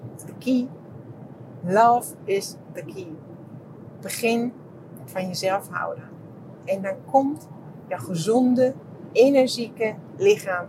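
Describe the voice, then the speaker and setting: A woman with a fairly high pitch and lively intonation, at a very slow pace with long, frequent pauses, big swings in loudness and noticeable background noise. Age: 50s. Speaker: podcaster and therapist. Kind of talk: casual monologue. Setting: walking outdoors.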